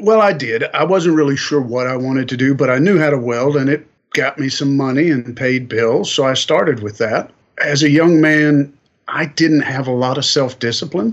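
The speaker has a slight Southern US accent and a moderate pace. Pitch varies in an ordinary way. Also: man, fairly high pitch for a man. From Kentucky, US South. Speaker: welding industry manager. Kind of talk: interview. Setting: on location.

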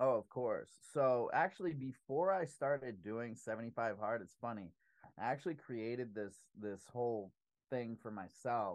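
He has a normal speaking voice at a medium pitch. This man keeps a moderate pace with ordinary pitch variation. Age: 30s. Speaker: business owner and public speaker. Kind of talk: casual interview chat. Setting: home podcast studio.

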